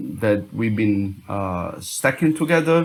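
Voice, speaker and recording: A man with an Italian accent at a very slow pace, with lively intonation. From Italy. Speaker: music producer. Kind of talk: tutorial. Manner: halting.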